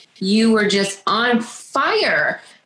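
This is a woman speaking. Noticeable background noise runs behind her. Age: 30s. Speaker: stay-at-home mom and makeup artist. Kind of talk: interview, personal testimony. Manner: halting.

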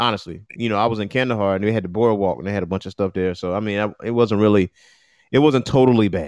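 In an American accent, the speaker talks very fast in an animated tone with ordinary pitch variation against a quiet background. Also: man, fairly low pitch for a man. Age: 30s. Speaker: morning show co-host. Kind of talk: casual chat.

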